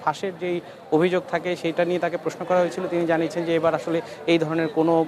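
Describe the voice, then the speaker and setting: Noticeable background noise sits under a man's voice. His pitch is high and his intonation monotone and flat. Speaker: TV news reporter. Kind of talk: live field report. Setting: on location at a university campus. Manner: halting, with fillers.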